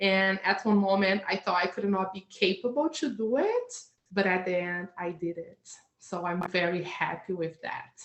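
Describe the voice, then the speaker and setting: At a moderate pace, a woman speaks in a Portuguese accent, with a medium pitch and ordinary pitch variation. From Brazil. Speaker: hypnotherapist. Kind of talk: interview. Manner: halting.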